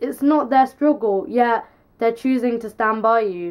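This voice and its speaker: A woman speaks at a moderate pace with ordinary pitch variation against a quiet background. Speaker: vlogger. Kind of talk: casual vlog chat, opinion. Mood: frustrated, passionate. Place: home room. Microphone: camera far.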